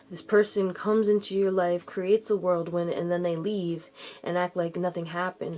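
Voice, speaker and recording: A woman with a fairly low pitch has a plain, everyday voice. She talks at a fairly quick pace with fairly even intonation. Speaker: tarot reader. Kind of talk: tarot reading. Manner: casual.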